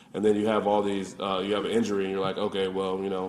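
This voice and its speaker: Audible room echo surrounds a man with an American accent whose fairly low voice stays monotone and flat. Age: 20s. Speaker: college football player. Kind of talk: press conference.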